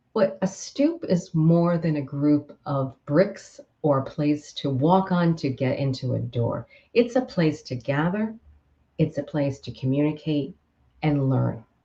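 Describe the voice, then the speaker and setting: A woman's very deep, low voice with an American accent, somewhat breathy, dark and mellow in tone, with lively intonation. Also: fairly slow pace. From Queens, New York. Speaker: author and communication coach. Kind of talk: author presentation to camera. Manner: upbeat, humorous.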